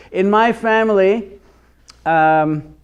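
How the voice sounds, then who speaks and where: A man speaks with an Israeli accent. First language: Hebrew. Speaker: Hebrew teacher. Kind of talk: lecture.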